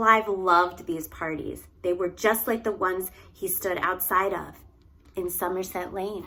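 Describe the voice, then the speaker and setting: Speaking at a fairly slow pace with a slight Philadelphia accent, a woman uses a medium pitch, monotone, flat intonation and a bright, sharp tone. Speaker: early childhood educator. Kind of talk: children's read-aloud.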